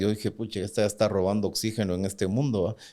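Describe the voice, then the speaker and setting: A man speaks with an unremarkable speaking voice at a fairly low pitch and a fairly even intonation. The recording is very clean, with a silent background. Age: 60s. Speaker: bank CEO. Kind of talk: interview.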